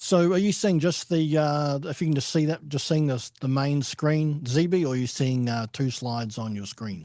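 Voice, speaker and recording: A man with a New Zealand accent speaks at a moderate pace and a fairly high pitch, his dark, mellow tone carrying ordinary pitch variation with hardly any pauses over a quiet background. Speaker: home care agency director. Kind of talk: webinar presentation. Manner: halting, many fillers.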